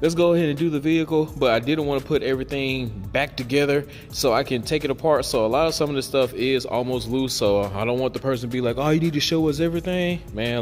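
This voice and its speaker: Faint background music behind a man talking at a fairly quick pace with ordinary pitch variation. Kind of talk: tutorial. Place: garage. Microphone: phone near.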